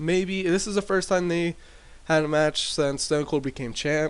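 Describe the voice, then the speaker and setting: A man speaks quietly with a high pitch. His pace is fairly slow. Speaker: gaming commentator. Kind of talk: casual gameplay commentary. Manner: hesitant, many fillers.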